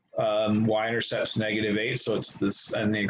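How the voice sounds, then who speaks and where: Against noticeable background noise, a man speaks at a moderate pace in a fairly low, flat monotone. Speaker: high school math teacher. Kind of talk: online class lecture.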